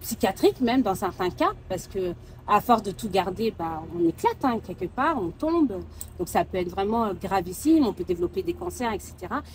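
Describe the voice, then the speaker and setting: A woman with a West African accent, medium pitch, lively intonation and a moderate pace. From Mauritania. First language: Soninke (speaking French). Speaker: sophrologist. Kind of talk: interview conversation. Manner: hesitant, many fillers.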